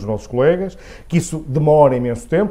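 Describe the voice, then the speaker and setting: A man with a Porto accent speaks at a fairly quick pace. His tone is dark and mellow. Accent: Porto accent, noticeable. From northern Portugal, Porto. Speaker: head of a professional association. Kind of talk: interview. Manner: halting, many fillers.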